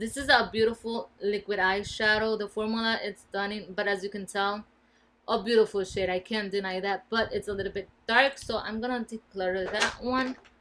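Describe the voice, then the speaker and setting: A woman with a Spanish accent talks at a moderate pace in a bright, sharp, fairly high voice with fairly even intonation. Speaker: beauty vlogger. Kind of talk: casual product review. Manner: casual, with fillers.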